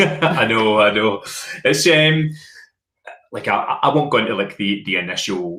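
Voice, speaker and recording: A man talks with a Glaswegian accent at a medium pitch, his voice making very wide pitch swings. He goes at a fairly slow pace, leaving long, frequent pauses. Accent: Glaswegian Scottish. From Glasgow, Scotland. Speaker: podcast host. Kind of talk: casual chat.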